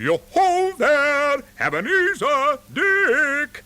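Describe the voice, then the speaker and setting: A man uses a put-on character voice at an extremely high pitch. He talks at a very slow pace. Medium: read story. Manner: hearty, booming.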